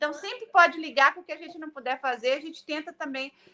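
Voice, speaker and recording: Raised and projected, a woman's bright, sharp voice in a Minas Gerais accent moves at a fairly quick pace. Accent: Brazilian mineiro, swallows words. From Brazil, Minas Gerais. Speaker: politician, city councillor running for state office. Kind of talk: interview.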